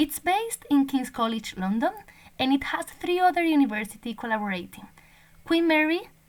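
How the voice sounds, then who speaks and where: A woman with a Spanish accent talks at a moderate pace in a high pitch. Her pitch swings very widely. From Spain. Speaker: language teacher and PhD researcher. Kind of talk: recorded conference presentation. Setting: online conference recording.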